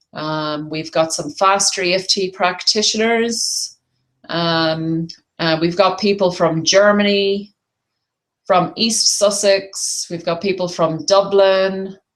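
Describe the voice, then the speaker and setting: Speaking with an Irish accent, a woman keeps a medium pitch. Her pace is very slow and her intonation fairly even. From Ireland. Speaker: tapping therapy practitioner and business coach. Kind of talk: webinar presentation. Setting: online webinar call. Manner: hesitant, many fillers.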